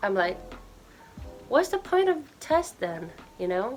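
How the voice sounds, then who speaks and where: The speaker talks at a fairly slow pace. The speech carries a Japanese accent. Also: woman. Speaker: YouTuber giving language tips. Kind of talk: casual vlog talk. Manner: halting, self-correcting.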